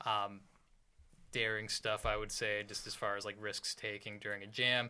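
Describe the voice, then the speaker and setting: At a moderate pace, a man with a fairly low pitch talks in a monotone, flat intonation, his tone bright and sharp. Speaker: rock band guitarist and singer. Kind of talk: casual chat. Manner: quiet, soft-spoken.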